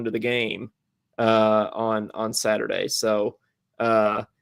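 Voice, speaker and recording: A man speaks at a very slow pace in a very clean recording with a silent background. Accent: slight Eastern Kentucky. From Eastern Kentucky. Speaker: podcast co-host. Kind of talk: casual chat. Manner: halting, many fillers and repeats.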